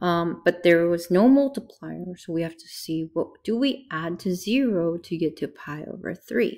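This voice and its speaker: At a fairly slow pace, a woman with a medium pitch speaks with very wide pitch swings. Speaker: math teacher. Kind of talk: tutorial.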